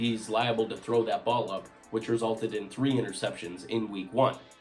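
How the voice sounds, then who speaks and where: A man talks at a medium pitch. Music can be heard in the background. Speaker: sports commentator. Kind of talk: casual talk to camera.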